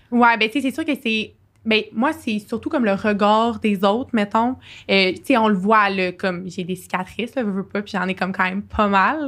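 In a very clean recording with a silent background, a woman with an ordinary speaking voice talks at a moderate pace, her fairly high pitch showing ordinary variation. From Quebec, Sherbrooke. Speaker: university student. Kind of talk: podcast interview, personal testimony.

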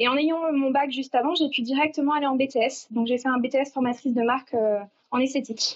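At a high pitch, a woman speaks fairly quickly with monotone, flat intonation and very even loudness. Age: 20s. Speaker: beautician. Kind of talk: casual interview.

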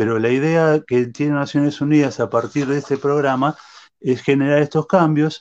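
A man speaks at a moderate pace with a fairly high pitch and fairly even intonation. The background is quiet. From Argentina, Buenos Aires. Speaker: lawyer and sociology researcher. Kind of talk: interview. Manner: halting, with frequent fillers.

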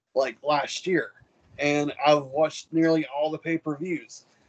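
A man with an unremarkable speaking voice, fairly high in pitch, at a fairly slow pace and with fairly even intonation. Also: dry, close sound with no echo. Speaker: co-host. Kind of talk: casual chat. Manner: casual, joking.

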